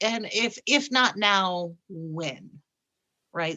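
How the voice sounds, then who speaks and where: Against a quiet background, a woman with an American accent talks at a medium pitch, her tone bright and sharp and her intonation lively. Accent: slight Yooper accent, slips out occasionally. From Upper Peninsula of Michigan. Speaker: political talk show co-host. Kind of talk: casual political chat. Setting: live stream.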